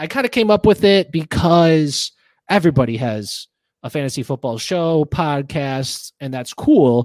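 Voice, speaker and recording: In a very clean recording with a silent background, a man with a normal speaking voice talks fairly slowly at a fairly high pitch with lively intonation. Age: 20s. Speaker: podcast host. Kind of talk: casual chat.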